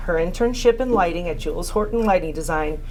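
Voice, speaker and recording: Music plays behind a woman with a fairly high pitch. Her intonation is lively, and the room echo is audible. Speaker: award presenter. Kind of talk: reading aloud a tribute speech. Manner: loud. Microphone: no microphone.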